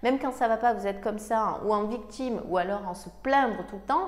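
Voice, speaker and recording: Lively intonation from a woman, at a fairly quick pace. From Provence, southern France. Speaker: success coach. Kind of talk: motivational talk to camera. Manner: animated.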